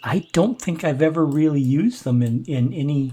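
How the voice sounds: A man speaks at a fairly slow pace with ordinary pitch variation. His tone is dark and mellow, with a slightly husky edge.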